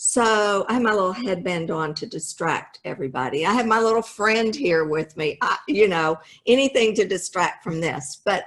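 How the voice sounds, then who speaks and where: At a moderate pace with hardly any pauses, a woman with a plain, everyday voice speaks at a medium pitch and lively intonation. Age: 60s. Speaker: home builder company founder. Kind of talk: motivational business talk. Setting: video call.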